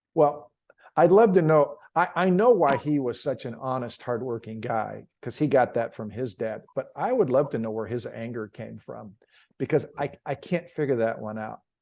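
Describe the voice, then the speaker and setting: A man speaks in a normal speaking voice at medium pitch and a moderate pace, against a quiet background. His intonation is lively, and his loudness swings widely. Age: 60s. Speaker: author and leadership coach, grandfather. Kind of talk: interview conversation.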